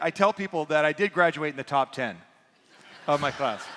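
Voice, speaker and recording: Noticeable background noise runs under a man with an American accent. He talks at a fairly quick pace with ordinary pitch variation. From US, eastern Washington rural. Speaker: pastor. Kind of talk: sermon.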